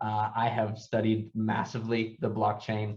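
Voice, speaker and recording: In an American accent, a man speaks at a fairly low pitch. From US East Coast. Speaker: startup founder. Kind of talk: workshop presentation. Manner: fast.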